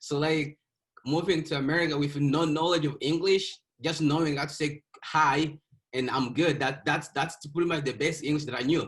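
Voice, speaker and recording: A man talks at a moderate pace, his voice somewhat breathy. His intonation is monotone and flat. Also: fairly high pitch for a man. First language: not English (English is fifth language). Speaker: author. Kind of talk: interview. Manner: halting, with repeated words.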